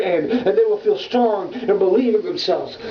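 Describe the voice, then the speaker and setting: Against noticeable background noise, a man talks in an extremely high pitch with lively intonation. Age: 20s. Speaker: slam poet. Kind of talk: slam poetry performance. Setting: home.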